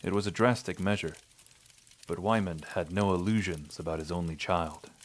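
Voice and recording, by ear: The pace is moderate and the pitch variation is ordinary. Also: man, low pitch for a man.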